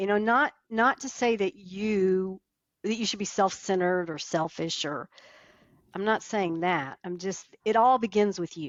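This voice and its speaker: An unremarkable speaking voice with an American accent talks at a fairly slow pace, with ordinary pitch variation. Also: woman, medium pitch for a woman. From Texas. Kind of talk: interview answer.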